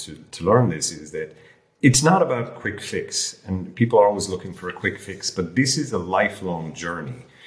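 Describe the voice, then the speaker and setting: This man's fairly low, somewhat breathy voice moves at a moderate pace with lively intonation and big swings in loudness. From rural Ireland. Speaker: health coach, former airline lawyer. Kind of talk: casual chat.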